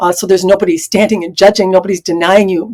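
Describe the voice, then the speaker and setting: Talking at a very fast pace, a woman keeps to a medium pitch. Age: 60s. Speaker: spiritual channeler and Akashic records consultant. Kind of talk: interview conversation. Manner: frequent filler hesitations.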